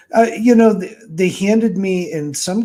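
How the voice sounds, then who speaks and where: A man speaks with a somewhat breathy quality. His tone is dark and mellow. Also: very clean recording, silent background. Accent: American. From Michigan. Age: 60s. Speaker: author and game writer. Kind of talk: interview.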